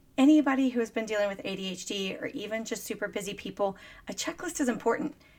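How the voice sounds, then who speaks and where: American-accented woman with an unremarkable speaking voice, medium pitch and ordinary pitch variation. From Texas, Dallas. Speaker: business coach and podcast host, Navy veteran. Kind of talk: motivational monologue.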